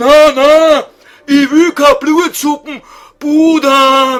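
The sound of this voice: With faint music in the background, a man puts on a character voice in a Viennese accent, extremely high-pitched, fairly bright in tone, with fairly even intonation at a very slow pace.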